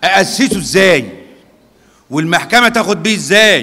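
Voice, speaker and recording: The voice is raised and projected, moving at a fairly slow pace. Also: man. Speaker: lecturer at lawyers' institute. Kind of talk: lecture. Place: hall. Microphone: podium.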